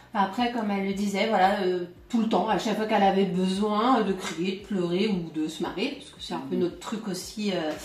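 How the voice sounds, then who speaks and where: Speaking at medium pitch with fairly even intonation, a woman is heard through audible room echo and noticeable background noise. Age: 40s. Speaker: family caregiver. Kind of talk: testimony. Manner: halting.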